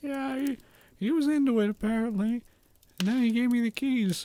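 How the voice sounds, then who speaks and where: In a put-on character voice, a man speaks at an extremely high pitch and a moderate pace, with ordinary pitch variation and a dry, close sound with no echo. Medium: actual play. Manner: casual, nonchalant.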